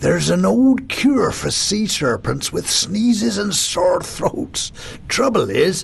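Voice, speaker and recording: Against clear background noise, a man performs a put-on character voice at a fairly slow pace. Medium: read story. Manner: warm, gentle.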